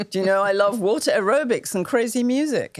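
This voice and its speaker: On a very clean recording with a silent background, a woman with a British accent speaks with ordinary pitch variation. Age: 70s. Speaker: women's health advocate and menopause expert. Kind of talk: interview conversation. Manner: animated.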